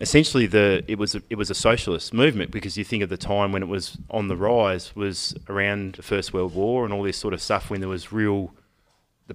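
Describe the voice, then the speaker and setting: A man's fairly low voice in an Australian accent, fairly quick, with ordinary pitch variation. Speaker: podcast host, electrician. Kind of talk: casual banter, political chat.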